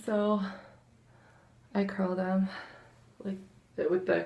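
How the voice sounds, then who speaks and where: A woman speaks quietly at a medium pitch. Her pace is fairly slow. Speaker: vlogger. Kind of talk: casual makeup tutorial. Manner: quiet, hushed; hesitant, lots of fillers.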